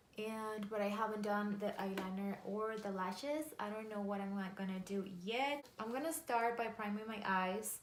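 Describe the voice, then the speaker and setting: A woman's medium-pitched voice at a moderate pace, with ordinary pitch variation, audible room echo and noticeable background noise. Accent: Spanish. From Mexico. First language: Spanish. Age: 30s. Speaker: makeup artist and beauty vlogger. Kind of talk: makeup tutorial.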